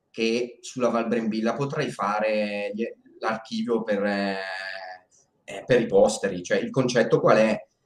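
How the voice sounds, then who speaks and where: A man at a very slow pace, with ordinary pitch variation and audible room echo. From northern Italy, Bergamo area; northern Italy. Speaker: documentary filmmaker and video editor; interview guest. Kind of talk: live stream interview. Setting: live stream. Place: home room. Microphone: video call.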